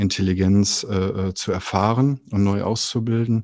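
This is a man's voice. It has a dark, mellow tone and a fairly low pitch. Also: quiet background. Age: 40s. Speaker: artist and youth welfare worker. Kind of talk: interview conversation. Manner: hesitant, many filler sounds.

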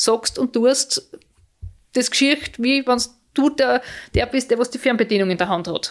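A woman with a fairly high pitch talks at a moderate pace with ordinary pitch variation in an unremarkable speaking voice. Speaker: mother of Paralympic skiers, visually impaired. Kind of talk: interview.

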